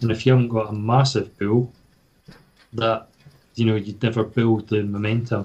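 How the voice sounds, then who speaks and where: A man with a Scottish accent speaks at a moderate pace in a medium pitch, his somewhat breathy voice flat and monotone, broken by long, frequent pauses. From Scotland, Fife. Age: 40s. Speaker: badminton player. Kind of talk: casual chat.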